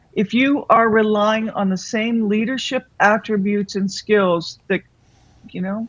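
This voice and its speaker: With an unremarkable speaking voice, a woman talks at a moderate pace and medium pitch, her intonation fairly even. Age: 60s. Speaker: author and business consultant. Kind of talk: interview.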